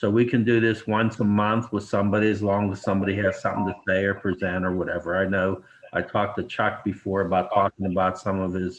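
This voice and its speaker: Delivered at a very fast pace with hardly any pauses, the speech stays monotone and flat. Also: man, fairly low pitch for a man. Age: 60s. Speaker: reunion organizer. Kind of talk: video call meeting intro. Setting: video call.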